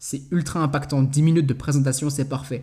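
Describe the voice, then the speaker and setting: Somewhat breathy, a man's voice has a dark, mellow tone and a fairly high pitch. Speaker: network marketing trainer. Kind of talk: tutorial. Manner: fast; casual.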